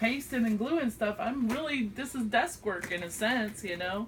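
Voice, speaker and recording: A woman speaks in a Southern US accent at a fairly slow pace. Noticeable background noise runs underneath. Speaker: craft vlogger. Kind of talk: casual chat. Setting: home craft desk, filmed by friend. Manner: chatty; halting.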